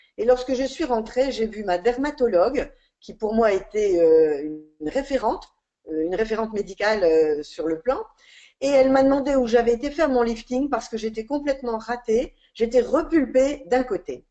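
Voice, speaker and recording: Her voice has a dark, mellow tone and sits at a fairly high pitch. This woman speaks at a moderate pace with lively intonation. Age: 60s. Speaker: independent skincare seller, former shopkeeper. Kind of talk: sales pitch webinar. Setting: online webinar. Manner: hesitant with fillers.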